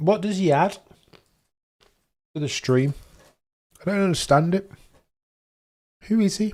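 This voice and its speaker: At a moderate pace, a man with a Birmingham accent talks in a high voice with ordinary pitch variation, leaving long, frequent pauses. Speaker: F1 livestream watchalong host. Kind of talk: casual live-stream chat. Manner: animated; halting, repeats words.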